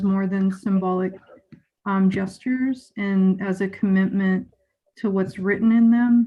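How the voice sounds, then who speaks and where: The voice has a dark, mellow tone, somewhat breathy, with monotone, flat intonation. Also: woman. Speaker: school board member. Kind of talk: public meeting remarks. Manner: slow.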